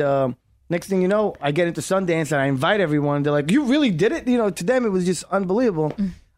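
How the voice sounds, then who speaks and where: Speaking with a New York accent, a man talks at a very fast pace. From New York, Brooklyn. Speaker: actor and filmmaker. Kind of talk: casual interview. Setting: studio.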